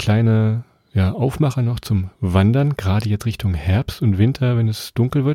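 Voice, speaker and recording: Recorded dry and close with no echo and a silent background in a very clean recording, a man speaks at a moderate pace in a dark, mellow, medium-pitched voice with ordinary pitch variation. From Lower Saxony, Germany. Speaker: travel podcast host. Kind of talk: casual chat.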